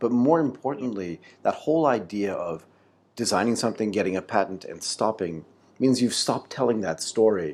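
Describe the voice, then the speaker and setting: A man with an American accent speaks at a moderate pace and a medium pitch, with lively intonation, in a plain, everyday voice. The recording is very clean, with a silent background. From United States. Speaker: podcast host. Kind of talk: interview.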